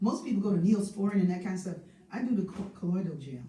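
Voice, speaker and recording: Over noticeable background noise and audible room echo, a woman's voice comes through. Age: 70s. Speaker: singer and spiritual host of a live stream. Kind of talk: casual chat. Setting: live stream.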